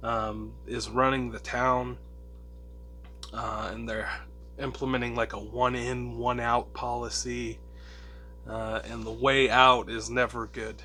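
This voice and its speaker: Music plays in the background as the voice moves at a very slow pace, with long, frequent pauses and big swings in loudness. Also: man. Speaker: comic book reviewer. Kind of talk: casual talk to camera.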